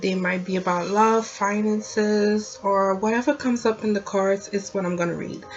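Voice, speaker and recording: Noticeable background noise sits behind a woman speaking at a fairly slow pace with a slight non-native accent. Her medium pitch follows fairly even intonation. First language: not English. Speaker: tarot reader. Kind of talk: tarot reading to camera. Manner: casual, chatty.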